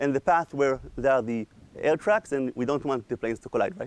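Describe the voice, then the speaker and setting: A man talking very fast in a dry, close sound with no echo. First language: not English. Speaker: AI researcher, lecturer. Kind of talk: lecture.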